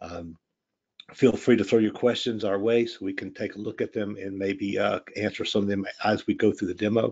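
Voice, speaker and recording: In a Louisiana accent, a man talks with a fairly low pitch and flat, monotone intonation. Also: moderate pace. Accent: noticeable Southern US (Louisiana). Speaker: software product expert, former pipe designer. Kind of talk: live software demo webinar. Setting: online webinar. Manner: casual, many fillers (um, uh).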